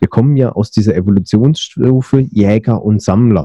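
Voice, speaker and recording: Somewhat breathy, the voice carries a dark, mellow tone. It sounds dry and close, without any echo. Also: man. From Berlin, Germany. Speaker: podcast host. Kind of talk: interview; scripted narration. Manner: hesitant with fillers.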